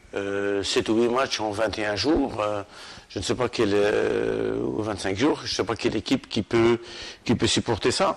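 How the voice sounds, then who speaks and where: Keeping to a fairly slow pace, a man with a fairly low pitch speaks with ordinary pitch variation. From Algeria, Sétif region. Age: 60s. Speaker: football coach. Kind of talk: interview. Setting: club headquarters at the stadium. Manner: halting, many repetitions and hesitations.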